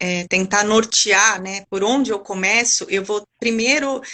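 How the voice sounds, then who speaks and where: Here a woman speaks in a normal speaking voice at a medium pitch. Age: 40s. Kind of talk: interview chat.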